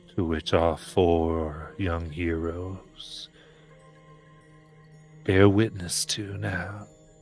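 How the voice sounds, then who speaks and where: In a put-on character voice with a very deep, low pitch, a man speaks at a very slow pace with long, frequent pauses while clear music plays in the background. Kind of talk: horror narration. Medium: actual play. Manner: dramatic, measured.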